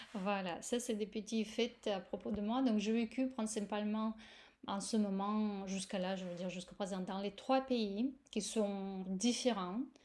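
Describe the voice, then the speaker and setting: A woman speaks with a Russian accent at a medium pitch. Her pace is fairly slow and her intonation fairly even. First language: Russian (speaking French). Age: 40s. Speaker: yoga teacher. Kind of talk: course presentation. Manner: hesitant, many fillers.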